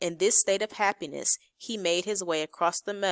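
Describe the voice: The clip is plain reading aloud with fairly even intonation against a quiet background.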